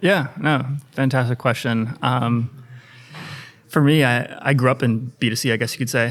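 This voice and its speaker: An unremarkable speaking voice from a man at medium pitch, moderate pace and ordinary pitch variation. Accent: American. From US. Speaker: sales executive. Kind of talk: podcast interview.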